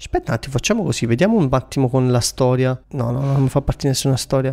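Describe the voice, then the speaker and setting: A man's medium-pitched voice at a very fast pace, with noticeable background noise. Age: 20s. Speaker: career coach and entrepreneur. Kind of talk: casual Instagram live Q&A. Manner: animated.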